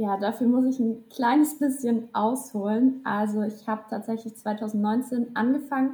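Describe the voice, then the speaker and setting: The tone is dark and mellow, and somewhat breathy. Intonation stays fairly even. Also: woman. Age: 20s. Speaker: social media content creator and student. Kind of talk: casual interview chat. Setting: video call.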